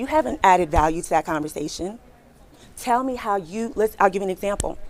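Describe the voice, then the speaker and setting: Animated and at a fairly quick pace, a woman speaks at medium pitch with lively intonation. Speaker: recruiter. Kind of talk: workshop talk. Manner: fast.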